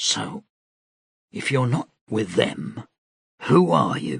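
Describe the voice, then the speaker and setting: Putting on a character voice, a man speaks very slowly in a raspy, very deep, low pitch with very wide pitch swings. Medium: read story. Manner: blunt, rough.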